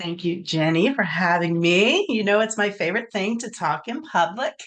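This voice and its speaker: A woman speaks in a normal speaking voice at a moderate pace, with lively intonation. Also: medium pitch for a woman. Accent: American. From Baltimore, Maryland. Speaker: virtual assistant. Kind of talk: interview.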